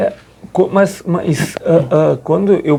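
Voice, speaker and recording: A man at a very slow pace. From Rio Grande do Sul, Brazil. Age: 40s. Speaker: Capuchin friar and long-distance pilgrim walker. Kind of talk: radio interview answer.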